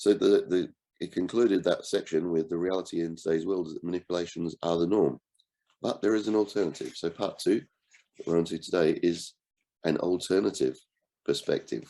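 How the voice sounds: Low in pitch, a man speaks with a dark, mellow tone. His pace is fairly quick, and his pitch varies in an ordinary way.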